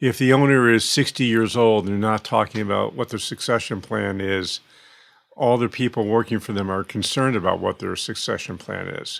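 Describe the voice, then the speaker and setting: Using a normal speaking voice, a man of medium pitch talks at a fairly quick pace with fairly even intonation. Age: 60s. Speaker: financial planning consultant and author. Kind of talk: podcast interview.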